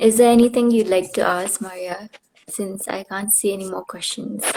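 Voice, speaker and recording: Speech comes at a moderate pace in a northeastern Indian accent, with fairly even intonation. Loudness swings widely. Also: woman. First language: Khasi. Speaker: livestream host, former pageant winner. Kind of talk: casual interview on livestream. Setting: Instagram live video call.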